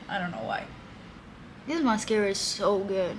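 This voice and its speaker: Audible room echo hangs around this recording. A woman talks with ordinary pitch variation. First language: Spanish. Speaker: beauty vlogger. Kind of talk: tutorial. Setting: balcony. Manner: casual.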